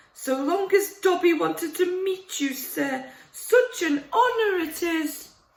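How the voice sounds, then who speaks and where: This put-on character voice sits at an extremely high pitch and moves at a fairly slow pace. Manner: nervous, servile, effusive.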